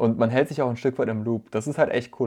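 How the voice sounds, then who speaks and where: This man talks very fast at a medium pitch, his tone dark and mellow and his intonation fairly even. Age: 20s. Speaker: photographer and videographer, student. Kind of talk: casual chat.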